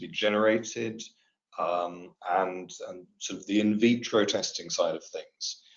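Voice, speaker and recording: Here a man is speaking. He has a British accent. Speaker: materials testing specialist. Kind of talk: webinar presentation. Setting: webinar. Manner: hesitant, many fillers.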